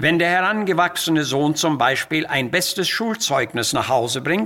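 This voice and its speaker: The voice belongs to a man. Its tone is bright and sharp. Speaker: preacher. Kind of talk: sermon.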